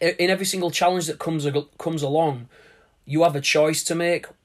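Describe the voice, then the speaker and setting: A man with a British accent at a fairly quick pace and fairly even intonation. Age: 30s. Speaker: podcast host. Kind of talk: motivational monologue. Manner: hesitant, with fillers.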